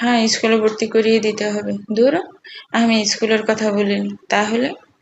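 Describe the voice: A plain reading aloud.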